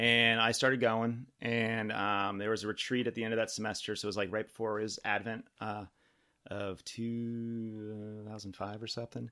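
A man with an American accent, fairly low pitch and a bright, sharp tone, in monotone, flat intonation at a fairly slow pace with hardly any pauses, on a very clean recording with a silent background. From Southern California, San Diego. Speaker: parishioner, husband and father. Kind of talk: testimony.

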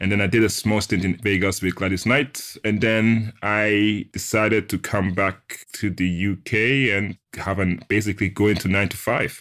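A man with a German accent talks at a moderate pace and fairly low pitch, with hardly any pauses. The recording is very clean, with a silent background. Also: fairly even intonation. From Switzerland, Ghanaian family. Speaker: sound engineer and tech entrepreneur. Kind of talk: interview.

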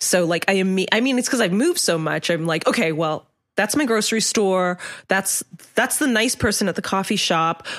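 A woman with an unremarkable speaking voice talks at medium pitch and a moderate pace, with lively intonation. Her loudness stays very even on a very clean recording with a silent background. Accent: American. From Hong Kong and US. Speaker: writer. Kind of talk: casual interview chat.

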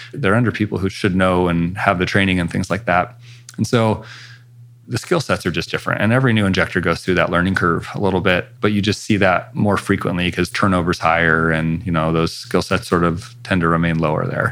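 Noticeable background noise sits behind a speaker who talks at a fairly quick pace with ordinary pitch variation. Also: man, very deep, low pitch for a man. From US Pacific Northwest (northern Idaho). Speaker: facial plastic surgeon. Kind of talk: interview.

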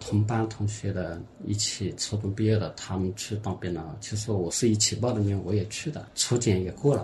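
Moderately paced speech with ordinary pitch variation and hardly any pauses, with music in the background and audible room echo. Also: man, fairly low pitch for a man. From Hunan, Xinhua county. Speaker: former film actor and odd-job worker. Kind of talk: casual interview. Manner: hesitant, many fillers.

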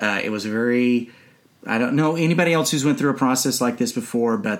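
A man with a plain, everyday voice speaks at a fairly quick pace with ordinary pitch variation, on a very clean recording with a silent background. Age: 40s. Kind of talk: casual chat.

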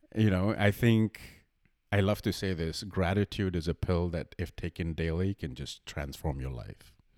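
On a very clean recording with a silent background, a man speaks at a moderate pace with a very deep, low pitch, the sound dry and close with no echo. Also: ordinary pitch variation. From India. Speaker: podcast co-host. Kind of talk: casual chat.

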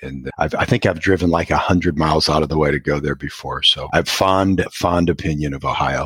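A man with a very deep, low pitch talks at a fairly quick pace, hardly pausing, with fairly even intonation. Noticeable background noise is present. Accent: American. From US Midwest, Iowa. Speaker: podcast host. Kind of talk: interview.

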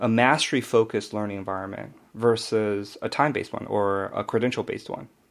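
At a fairly quick pace, a man speaks with medium pitch and hardly any pauses. It is an unremarkable speaking voice. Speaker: webinar host. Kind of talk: webinar info session, interview. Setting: webinar, online.

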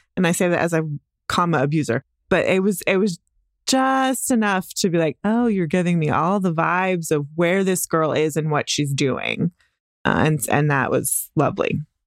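A woman with an American accent speaks in a normal speaking voice at a moderate pace, fairly low in pitch with lively intonation and very even loudness, the sound dry and close with no echo on a very clean recording with a silent background. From Texas, Dallas. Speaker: podcast guest. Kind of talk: casual chat.

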